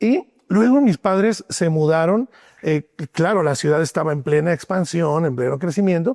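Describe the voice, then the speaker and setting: Pitched high for a man, this animated speaker uses lively intonation at a moderate pace, and the sound is dry and close with no echo. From Mexico City. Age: 50s. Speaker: songwriter and former pastor. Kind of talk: interview testimony. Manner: animated storytelling.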